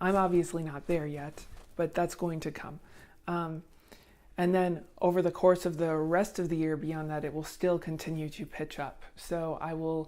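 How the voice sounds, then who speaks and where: In a very clean recording with a silent background, a woman with a fairly low pitch and a dark, mellow tone speaks at a moderate pace in a flat monotone. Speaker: vlogger sharing voice surgery progress. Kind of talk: casual vlog update. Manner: hesitant, many fillers.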